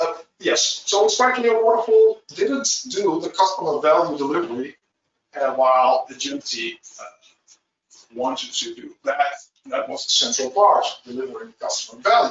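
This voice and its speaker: A man with a Dutch accent speaks at a moderate pace and a high pitch, with very wide pitch swings and big swings in loudness. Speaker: agile trainer. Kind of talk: webinar presentation. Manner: halting, many fillers.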